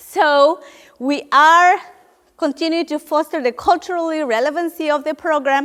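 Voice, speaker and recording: A woman with a Spanish accent speaks in a high voice at a moderate pace, her intonation fairly even. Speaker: nonprofit program leader. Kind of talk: panel talk. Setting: room with audience.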